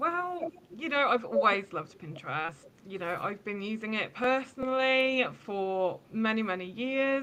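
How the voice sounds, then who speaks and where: A woman with a British accent speaks at a fairly high pitch, her pitch swinging very widely. Noticeable background noise is present. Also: moderate pace. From England, Bedford. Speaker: social media marketing consultant. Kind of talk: podcast interview.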